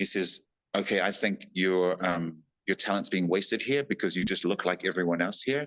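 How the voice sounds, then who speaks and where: A man with a New Zealand accent and a very deep, low pitch speaks at a moderate pace, with ordinary pitch variation, very even loudness, and a dry, close sound with no echo. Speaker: actor and stuntman. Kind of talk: casual interview storytelling. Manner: animated.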